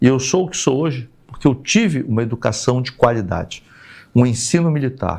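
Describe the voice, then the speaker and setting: A man with a plain, everyday voice talks at a fairly quick pace at medium pitch, with lively intonation. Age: 60s. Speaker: retired army colonel and politician. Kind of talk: podcast interview.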